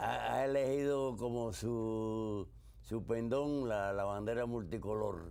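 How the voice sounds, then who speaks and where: A man's dark, mellow tone at medium pitch, with ordinary pitch variation, very even loudness, a very slow pace and audible room echo. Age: 80s+. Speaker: war veteran. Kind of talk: interview.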